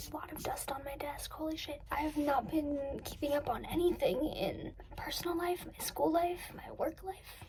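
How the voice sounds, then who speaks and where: Moderate pace amid noticeable background noise. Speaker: college student vlogger. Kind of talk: casual vlog talking to camera.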